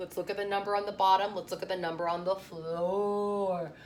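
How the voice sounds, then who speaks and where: Her tone is animated. The woman speaks at a medium pitch with ordinary pitch variation. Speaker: elementary school teacher. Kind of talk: remote lesson tutorial for young pupils.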